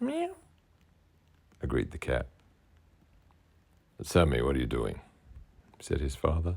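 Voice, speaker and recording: A man with an Australian accent, a very deep, low pitch, vocal fry, ordinary pitch variation, a fairly slow pace and long, frequent pauses. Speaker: children's author. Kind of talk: children's story reading.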